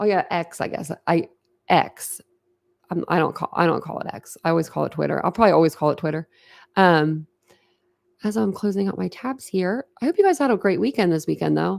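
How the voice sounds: The voice moves at a fairly quick pace with lively intonation. Its tone is slightly mellow, with vocal fry. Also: woman.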